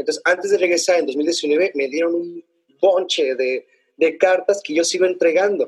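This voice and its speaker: Here a man talks with a high pitch. His intonation is fairly even and his pace is moderate. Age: 40s. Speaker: poet and cultural manager. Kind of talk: interview. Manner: halting.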